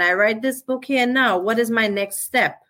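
In a Trinidadian accent, a woman talks at a fairly high pitch with a bright, sharp tone and ordinary pitch variation. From Trinidad and Tobago. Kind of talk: interview.

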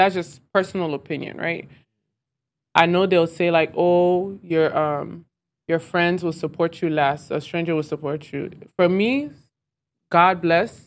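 A woman with an American accent, fairly low in pitch, with fairly even intonation at a fairly slow pace, with long, frequent pauses on a very clean recording with a silent background. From US South. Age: 20s. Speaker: restaurant owner. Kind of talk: interview.

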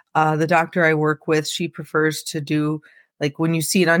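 A woman with a Midwestern American accent speaks at a moderate pace in a very deep, low voice, the sound dry and close with no echo on a very clean recording with a silent background. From US Midwest, central Illinois. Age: 30s. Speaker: autopsy technician. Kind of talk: interview, personal story.

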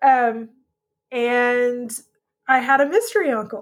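A woman with a Texan accent speaks at a high pitch with fairly even intonation, on a very clean recording with a silent background. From Texas. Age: 40s. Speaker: podcast guest sharing life story. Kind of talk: testimony.

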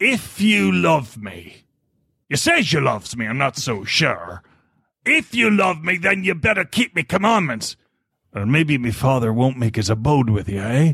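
A man's put-on character voice, fairly high in pitch, with very wide pitch swings at a moderate pace. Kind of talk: pirate dialect, 'you loves me'. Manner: playful, comic.

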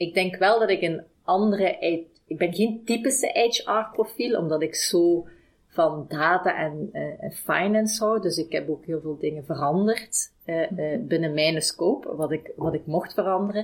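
A woman with a medium pitch and ordinary pitch variation speaks at a fairly slow pace. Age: 40s. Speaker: HR director. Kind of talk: interview. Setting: company office. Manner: halting.

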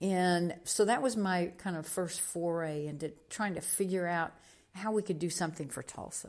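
Using a plain, everyday voice, a woman with an American accent speaks at a moderate pace and a fairly low pitch with ordinary pitch variation. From Oklahoma (Muskogee). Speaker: county commissioner and mayoral candidate, former TV broadcaster. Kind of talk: interview conversation.

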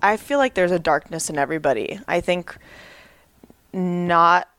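A woman with an American accent, medium pitch and lively intonation. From Southern California, San Fernando Valley. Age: 20s. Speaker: former athlete sharing her mental health story. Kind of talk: personal testimony interview.

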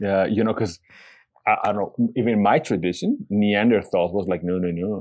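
With a Bolivian accent, a man speaks in a fairly low-pitched voice. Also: fairly even intonation, moderate pace. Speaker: podcast co-host. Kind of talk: casual chat. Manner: warm, playful.

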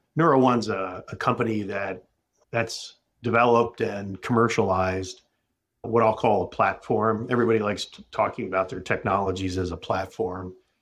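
A man's fairly low voice, a normal speaking voice with fairly even intonation and a moderate pace, with big swings in loudness in a very clean recording with a silent background. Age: 50s. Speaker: medical device company CEO. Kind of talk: interview.

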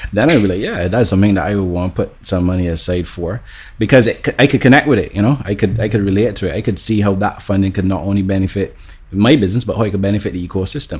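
Speaking at a very fast pace, a man with a fairly low pitch sounds somewhat breathy and uses ordinary pitch variation. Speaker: business owner. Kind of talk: podcast interview.

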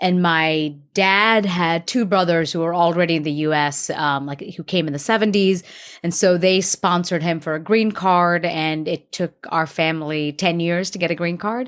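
In a very clean recording with a silent background, a woman with a plain, everyday voice speaks at a moderate pace, fairly low in pitch and with fairly even intonation. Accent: American. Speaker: actress. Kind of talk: casual interview chat.

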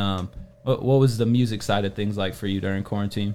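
A man talks with a normal speaking voice at a fairly low pitch. His pace is fairly quick and his intonation fairly even. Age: 20s. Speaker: talk show host. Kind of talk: casual chat.

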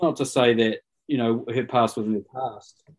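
Here a man talks in a medium pitch with ordinary pitch variation. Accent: New Zealand. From New Zealand, Rotorua. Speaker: rugby coach. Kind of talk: casual interview chat. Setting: live video call.

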